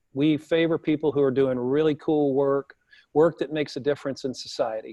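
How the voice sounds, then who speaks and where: Speaking with a Southern US accent, a man with fairly high pitch talks at a moderate pace. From US South. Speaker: talk show host. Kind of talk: event host introduction; casual chat. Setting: live broadcast with audience in room.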